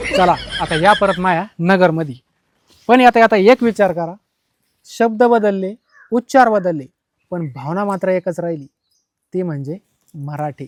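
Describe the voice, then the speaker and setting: In a dry, close recording with no echo, a high-pitched man speaks with ordinary pitch variation and big swings in loudness. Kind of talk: comedy sketch host narration.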